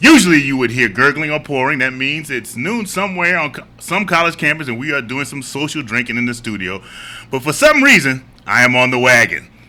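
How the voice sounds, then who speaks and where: There is noticeable background noise as a man speaks at a fairly quick pace. His pitch is fairly high, with ordinary variation. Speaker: podcast host. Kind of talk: casual chat. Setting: studio.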